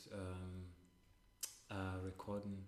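Audible room echo surrounds a man speaking at a very slow pace. His pitch is fairly low, and he has a Russian accent. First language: Russian (speaking German). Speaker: podcast co-host. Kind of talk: casual chat. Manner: halting.

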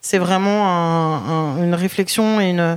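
A woman's voice of medium pitch with ordinary pitch variation. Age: 30s. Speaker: restaurant owner. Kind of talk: interview. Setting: in a restaurant. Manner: hesitant, many fillers.

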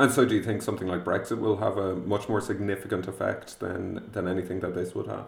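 A man's fairly low voice at a very fast pace, with fairly even intonation and hardly any pauses. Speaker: podcast host. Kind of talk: interview.

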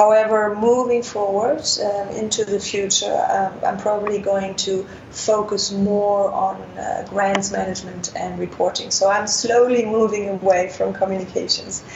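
A woman with a German accent, monotone and flat in intonation, hardly any pauses, noticeable background noise behind her. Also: medium pitch for a woman, moderate pace. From Germany. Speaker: international development worker. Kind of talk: interview. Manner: frequent filler words, hesitant.

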